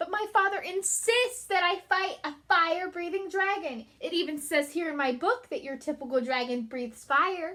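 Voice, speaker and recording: Putting on a character voice, a woman talks at a moderate pace with hardly any pauses, her extremely high pitch swinging very widely. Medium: read story. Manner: nervous, stammering.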